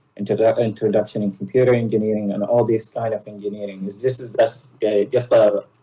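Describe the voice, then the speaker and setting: A man with a fairly low pitch talks very fast in a flat, monotone way, somewhat breathy and with hardly any pauses. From Sudan. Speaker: software engineer. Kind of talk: interview. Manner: halting, many fillers.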